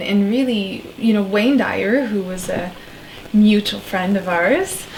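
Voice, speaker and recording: A woman with a French accent talks at a very slow pace and a medium pitch, with noticeable background noise behind her. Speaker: shaman, spiritual coach and author. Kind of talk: interview conversation.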